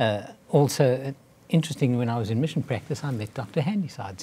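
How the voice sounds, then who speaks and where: The man's voice is dark, mellow and somewhat breathy at a medium pitch. He talks at a very fast pace with ordinary pitch variation. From South Africa. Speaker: physician, cardiologist. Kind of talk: interview.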